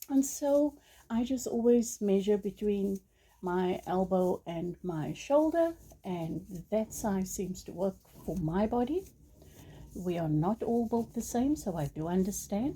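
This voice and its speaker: With a South African accent, a woman of medium pitch talks at a fairly slow pace with lively intonation. Her tone is dark, mellow and somewhat breathy. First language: Afrikaans. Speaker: crochet tutorial creator. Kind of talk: tutorial. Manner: hesitant, many ums and uhs.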